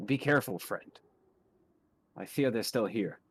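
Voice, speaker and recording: A man puts on a character voice at medium pitch. His pace is moderate. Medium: actual play.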